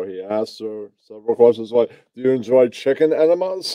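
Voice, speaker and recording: The pace is moderate, with ordinary pitch variation. It is an ordinary speaking voice. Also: man. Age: 40s. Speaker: guest in a music and comedy chat. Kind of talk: casual chat.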